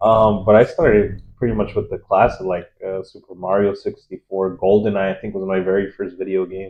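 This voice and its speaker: With a Spanish accent, a man speaks at a fairly low pitch and a fairly quick pace, hardly pausing. His intonation is monotone and flat, while his loudness swings widely. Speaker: gamer. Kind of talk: casual chat.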